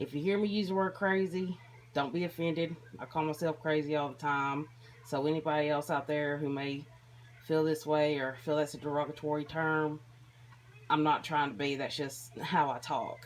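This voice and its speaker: With a slight country accent, a woman talks at a moderate pace in a very deep, low pitch and fairly even intonation. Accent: slight country twang. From Tennessee. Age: 30s. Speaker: vlogger sharing mental health experience. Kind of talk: personal vlog monologue.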